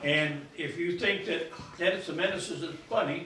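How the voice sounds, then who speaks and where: A man's fairly high, fairly slow voice with an American accent, amid noticeable background noise and audible room echo. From Keokuk, Iowa, US Midwest. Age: 90s. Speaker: local elder sharing memories. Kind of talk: storytelling talk to an audience. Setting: stage with audience. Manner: halting, with many fillers.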